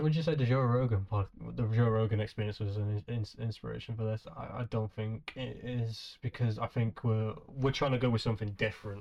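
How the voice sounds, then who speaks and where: Someone with a British accent speaks at a fairly quick pace with fairly even intonation against a quiet background. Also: man, medium pitch for a man. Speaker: podcast host. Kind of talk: casual chat. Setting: video call. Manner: casual, swears often.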